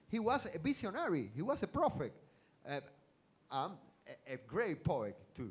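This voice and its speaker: With a Spanish accent and vocal fry, a man talks at a moderate pace in a fairly high voice, making very wide pitch swings and long, frequent pauses. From Cuba, Havana. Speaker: science fiction writer. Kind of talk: stage interview. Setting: stage with audience. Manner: halting.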